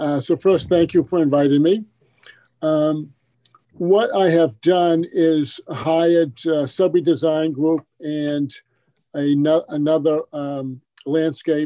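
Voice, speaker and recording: Against a quiet background, a man speaks very slowly in a fairly high pitch with a dark, mellow tone. His intonation stays fairly even. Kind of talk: public meeting discussion. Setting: video call. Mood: conciliatory, reassuring. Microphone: video call.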